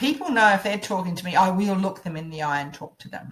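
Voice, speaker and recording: A woman's voice is booming. Her intonation is lively. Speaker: public speaking coach. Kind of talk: online course lecture. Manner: loud.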